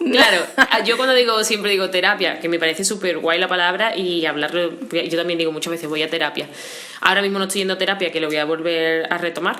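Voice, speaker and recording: Over noticeable background noise, a woman talks at a very fast pace with a fairly low pitch and ordinary pitch variation. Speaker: interview guest sharing mental health experience. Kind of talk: casual interview conversation.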